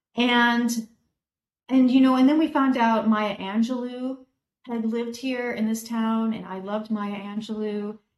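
A woman's plain, everyday voice at a fairly slow pace. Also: fairly high pitch for a woman, fairly even intonation. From US Midwest, Oak Park, Illinois. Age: 50s. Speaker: painter. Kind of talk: casual chat. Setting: video call.

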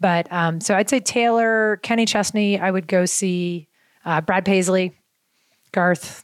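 A woman with an American accent speaks in a normal speaking voice at a medium pitch, at a fairly slow pace with fairly even intonation. Her loudness stays very even, and the sound is dry and close with no echo. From Baltimore, US. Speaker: women's soccer club co-founder. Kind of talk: casual interview chat. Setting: studio.

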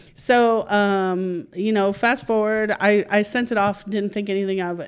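A plain, everyday voice with fairly even intonation comes through in a very clean recording with a silent background. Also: woman. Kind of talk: casual chat.

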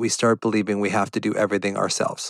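A man speaks in a normal speaking voice with fairly low pitch. The recording is very clean with a silent background, and the sound is dry and close with no echo. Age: 60s. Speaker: podcast host, physician and anxiety coach. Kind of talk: solo educational podcast monologue. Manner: conversational, with sighs and laughs.

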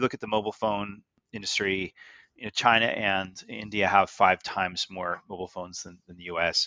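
Speaking at a moderate pace, a man with a fairly low pitch uses monotone, flat intonation while his loudness swings a lot. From Canada (Goderich, Ontario). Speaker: tech executive and investor. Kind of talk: interview.

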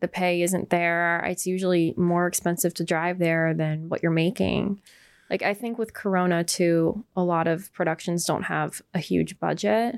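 In a very clean recording with a silent background, a woman with an ordinary speaking voice talks at a moderate pace, fairly low in pitch and with fairly even intonation. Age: 20s. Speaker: actress and model. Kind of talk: casual chat.

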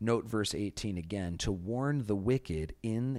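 With an American accent, a man speaks at a very slow pace in a fairly low pitch. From US Midwest, Chicago. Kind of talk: Bible study discussion.

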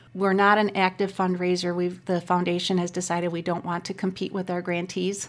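A voice in an Upper Midwest accent moves at a fairly quick pace with monotone, flat intonation. The recording is very clean, with a silent background. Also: woman, medium pitch for a woman, hardly any pauses. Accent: Upper Midwest American. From Racine, Wisconsin. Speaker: community foundation executive. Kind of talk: interview.

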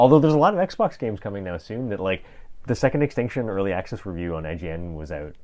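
A man with a fairly low pitch talks very fast, his pitch swinging very widely and his loudness rising and falling sharply. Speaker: video game podcast host. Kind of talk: casual chat. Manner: louder when recording.

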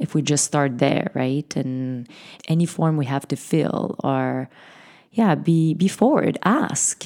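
A woman with a non-native accent talks very slowly. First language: not English. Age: 40s. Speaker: podcast host. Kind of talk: interview conversation.

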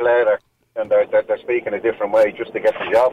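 A man with a Dublin accent. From Dublin, Ireland. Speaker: caller. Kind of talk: phone-in call. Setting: phone call.

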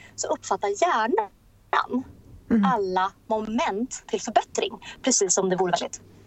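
A woman speaks in an unremarkable speaking voice at a fairly high pitch, with lively intonation and a fairly slow pace. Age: 30s. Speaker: entrepreneur. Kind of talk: interview.

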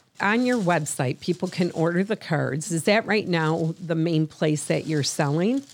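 A woman speaks with an American accent in a plain, everyday voice, her intonation lively. She keeps a moderate pace with hardly any pauses. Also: fairly low pitch for a woman. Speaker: podcast host. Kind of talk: casual chat.

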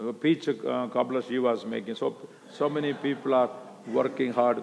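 A man with an Indian accent. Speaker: preacher at missions conference. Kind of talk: sermon. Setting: church conference stage with audience.

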